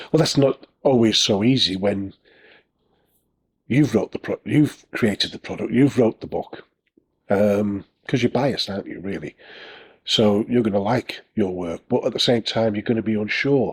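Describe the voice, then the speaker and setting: With a Northern English accent, a man speaks at a moderate pace and medium pitch, taking long, frequent pauses. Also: ordinary pitch variation. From northern England. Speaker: self-publishing author and YouTuber. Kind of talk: casual tutorial talk to camera. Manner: hesitant, many fillers.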